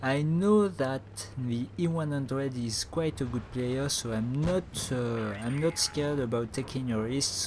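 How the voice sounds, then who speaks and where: A man at medium pitch and a fairly slow pace, with hardly any pauses, over noticeable background noise. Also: ordinary pitch variation. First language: not English. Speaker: gaming commentator. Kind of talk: gameplay commentary. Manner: halting, many fillers.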